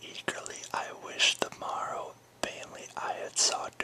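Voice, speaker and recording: Someone whispers in a soothing tone at a fairly slow pace, with noticeable background noise. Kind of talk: poetry reading. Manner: whispered, soothing.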